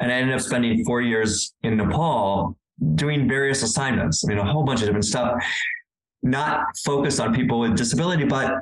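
This man speaks with an American accent at a moderate pace. His pitch sits in the medium range. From California. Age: 60s. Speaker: adaptive sports director and coach. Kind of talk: interview conversation. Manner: hesitant, many fillers.

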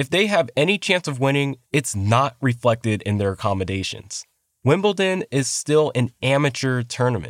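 On a very clean recording with a silent background and a dry, close sound with no echo, a man speaks at a medium pitch and a moderate pace with very wide pitch swings. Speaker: podcast host narrator. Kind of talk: scripted narration.

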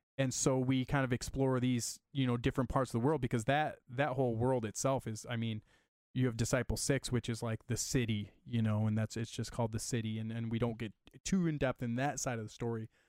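An American man speaks in an ordinary speaking voice at medium pitch and a fairly quick pace, with fairly even intonation. The recording is very clean and dry, close with no echo, over a silent background. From Michigan, US Midwest. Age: 30s. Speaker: comic book creator. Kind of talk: casual chat.

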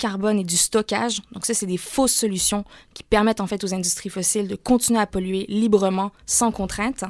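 A woman with a slight Canadian French accent, fairly high in pitch, at a moderate pace in a dry, close sound with no echo. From Canada. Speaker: climate campaigner. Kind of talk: radio interview.

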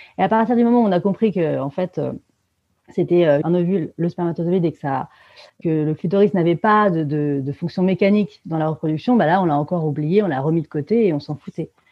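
Her pitch is fairly low, with ordinary variation. The woman talks at a fairly quick pace. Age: 30s. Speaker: author and feminist activist. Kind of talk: interview. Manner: hesitant, many fillers.

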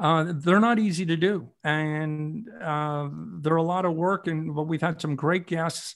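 A man in an Ontario accent with a fairly high pitch, a fairly slow pace and fairly even intonation, on a very clean recording with a silent background. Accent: Canadian (Ontario). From Ontario, Canada. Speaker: retired hockey reporter. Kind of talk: interview. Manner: halting.

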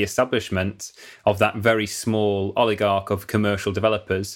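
With a northern English accent, a man with a fairly low voice speaks at a moderate pace in a monotone, flat way, recorded very cleanly against a silent background. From northern England. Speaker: podcast host. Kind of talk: interview.

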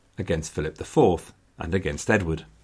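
A man talks at a fairly quick pace with an English accent. The recording is very clean, the background silent. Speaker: history podcaster. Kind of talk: scripted history narration. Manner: wry, dry humoured, storytelling; conversational, gently sarcastic.

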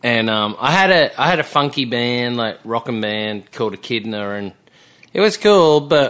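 A man at a moderate pace, medium in pitch, with lively intonation. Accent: Australian. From Australia, Melbourne. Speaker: songwriter. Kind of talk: casual chat.

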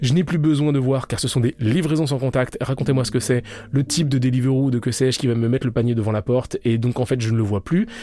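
A man talks at a very fast pace in a medium pitch, with ordinary pitch variation and very even loudness. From France, Paris suburbs (Val-de-Marne). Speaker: sociologist. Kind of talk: interview. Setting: studio.

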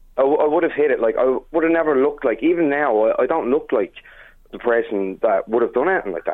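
A man speaks at a very fast pace with an Irish accent. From Ireland. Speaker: chef. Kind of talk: interview. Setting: phone call.

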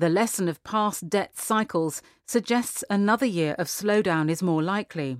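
In a very clean recording with a silent background, a woman uses a normal speaking voice at medium pitch, with lively intonation at a moderate pace. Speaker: magazine article reader. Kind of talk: formal newsreading, scripted article excerpts read aloud in a steady, sober tone. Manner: even, measured, serious, precise with figures.

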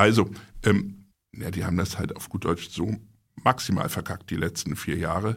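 Pausing long and often, a man speaks at a moderate pace with a very deep, low pitch and fairly even intonation. His voice is somewhat breathy, and his loudness swings widely. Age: 40s. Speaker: magazine publisher. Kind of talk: casual chat.

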